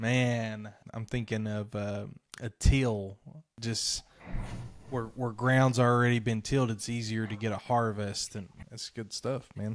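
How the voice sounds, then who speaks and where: In a very clean recording with a silent background, a man with an Eastern Kentucky accent talks at a fairly slow pace and medium pitch, with fairly even intonation. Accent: Eastern Kentucky twang. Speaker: podcast host. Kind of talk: casual interview.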